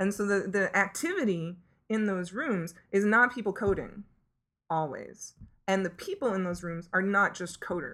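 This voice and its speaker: An unremarkable speaking voice with an American accent, moderate pace and ordinary pitch variation, on a very clean recording with a silent background. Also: woman, medium pitch for a woman. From US. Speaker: tech community liaison. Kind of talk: interview. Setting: at a conference.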